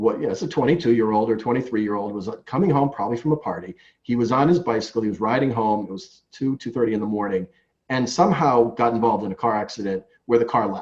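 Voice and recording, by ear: This man speaks at a fast pace with a slightly mellow tone. His pitch is fairly low, with ordinary pitch variation.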